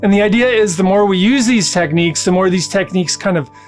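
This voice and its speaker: A man with a calm tone and lively intonation, music in the background. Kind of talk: mindfulness talk to camera. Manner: calm, conversational, explanatory.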